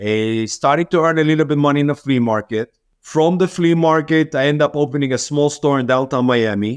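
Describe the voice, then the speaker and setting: With an Israeli accent, a man talks at a fairly quick pace with hardly any pauses. His pitch is fairly high, with ordinary pitch variation and very even loudness. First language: Hebrew. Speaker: business owner. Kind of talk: interview.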